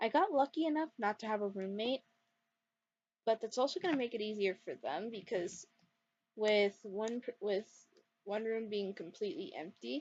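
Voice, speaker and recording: A woman with a fairly high pitch talks at a moderate pace, her intonation lively and her speech broken by long, frequent pauses, against a quiet background. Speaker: gaming YouTuber. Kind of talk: gameplay commentary. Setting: dorm room at night. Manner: quiet, lowered voice; rambling, hesitant.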